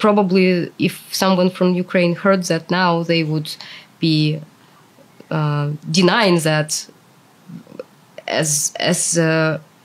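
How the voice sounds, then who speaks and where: A woman with a fairly low pitch talks at a very slow pace in a monotone, flat intonation, with long, frequent pauses. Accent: Russian. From Russia. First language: Russian. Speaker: translator, former anti-war protester. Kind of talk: interview.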